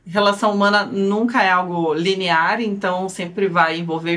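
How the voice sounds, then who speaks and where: Speaking with a strong Curitiba accent, a woman keeps a moderate pace, medium pitch, and fairly even intonation. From Brazil, Curitiba. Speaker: lawyer, podcast co-host. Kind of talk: casual podcast introduction.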